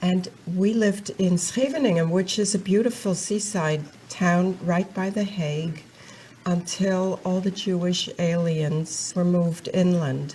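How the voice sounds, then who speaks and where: Amid noticeable background noise, a woman speaks at a fairly slow pace and medium pitch with fairly even intonation. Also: very even loudness. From Netherlands. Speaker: Holocaust survivor. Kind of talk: testimony.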